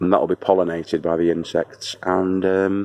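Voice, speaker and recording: Recorded dry and close with no echo but noticeable background noise, a man with a Lancashire accent talks fairly slowly in a very deep, low voice. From northern England, Wigan. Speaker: home gardener. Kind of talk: gardening tutorial. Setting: outdoors at sunset. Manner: casual, jokey; mock posh voice briefly.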